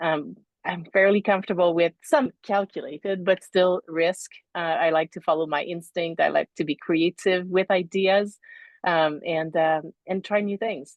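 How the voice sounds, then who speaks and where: A woman's medium-pitched voice with a slight French accent, fairly even intonation and a fairly slow pace. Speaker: leadership psychologist. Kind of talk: interview. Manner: halting.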